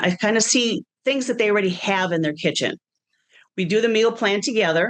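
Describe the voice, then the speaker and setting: A woman's plain, everyday voice at a medium pitch and fairly quick pace, with an American accent, very even loudness, and a quiet background. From Wisconsin. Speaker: personal chef and business owner. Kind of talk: interview. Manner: casual conversational.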